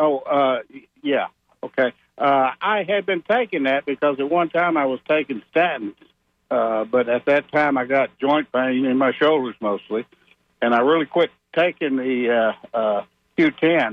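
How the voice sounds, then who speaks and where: A plain, everyday voice at a fairly slow pace, with very even loudness and ordinary pitch variation. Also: man, fairly high pitch for a man. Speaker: caller, former wrestler. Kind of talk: call-in question. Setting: phone call.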